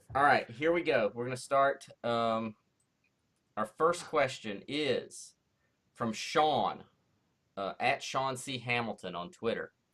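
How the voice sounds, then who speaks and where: In a Southern accent, a man talks at a very slow pace, leaving long, frequent pauses. His voice sits at a medium pitch with a bright, sharp tone and ordinary pitch variation. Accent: syrupy Southern-type. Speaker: comic book writer. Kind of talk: casual chat.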